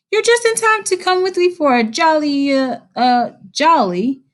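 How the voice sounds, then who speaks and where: A woman does a squeaky put-on character voice, high in pitch with very wide pitch swings, at a moderate pace. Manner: cheerful, then faltering and hesitant.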